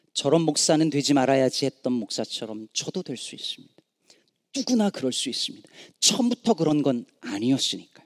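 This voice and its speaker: This man talks at a fairly quick pace, his pitch fairly high for a man and swinging very widely. The sound is dry and close, with no echo. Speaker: pastor. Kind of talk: sermon. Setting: church.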